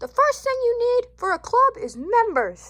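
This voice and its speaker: A woman in a put-on character voice, squeaky and extremely high in pitch, at a moderate pace. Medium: read story. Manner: gentle, reasoning.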